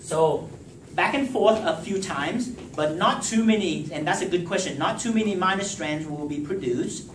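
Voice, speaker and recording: Through noticeable background noise and audible room echo, a man with a high pitch speaks with lively intonation. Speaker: professor. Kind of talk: lecture. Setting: classroom with students. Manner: slow; halting.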